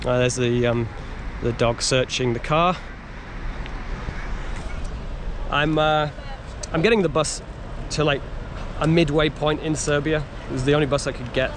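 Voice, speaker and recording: With noticeable background noise around him, a man speaks in fairly even intonation, the sound dry with no echo. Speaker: travel vlogger. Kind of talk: casual vlog chat. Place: street. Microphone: phone near.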